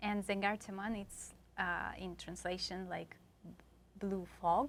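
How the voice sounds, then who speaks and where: A woman at medium pitch, speaking at a very slow pace with monotone, flat intonation. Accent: Tatarstan. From Tatarstan, Russia. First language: Tatar. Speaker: singer. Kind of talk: casual interview. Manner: halting.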